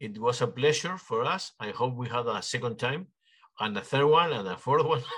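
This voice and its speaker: With a Spanish accent, a man talks at a fairly quick pace in a medium pitch, his pitch varying in an ordinary way. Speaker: podcast host. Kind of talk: interview. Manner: halting.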